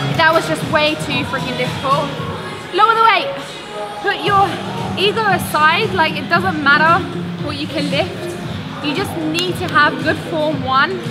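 Moderate pace from a woman, loud music behind her. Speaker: fitness creator. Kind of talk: casual workout tutorial. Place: gym.

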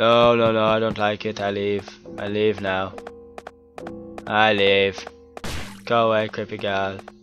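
Over clear background music, a man talks at a moderate pace with long, frequent pauses. His fairly low voice is monotone and flat. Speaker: gamer. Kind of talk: let's play commentary. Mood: startled, nervous. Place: home room.

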